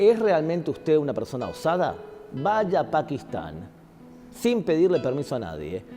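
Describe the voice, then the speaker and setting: A man speaks at a fairly high pitch with very wide swings up and down, music playing behind him. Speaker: guest speaker, teacher on religion. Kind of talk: interview answer, lecture-like explanation. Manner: emphatic, rhetorical, challenging the audience.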